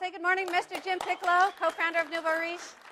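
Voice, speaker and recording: A woman speaks in a raised, projected voice at an extremely high pitch. Her tone is bright, sharp and animated. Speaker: seminar instructor. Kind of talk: live seminar. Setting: stage with audience. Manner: fast.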